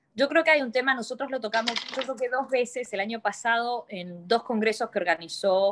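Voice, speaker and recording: A woman speaks at a moderate pace with ordinary pitch variation. It is a normal speaking voice. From Argentina. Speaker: law lecturer, human rights lawyer. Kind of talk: webinar discussion.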